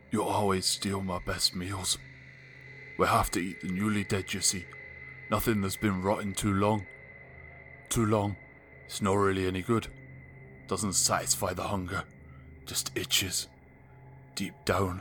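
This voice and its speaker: A man puts on a character voice with a fairly low pitch, speaking at a moderate pace with long, frequent pauses over clear background noise. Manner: amused, menacing.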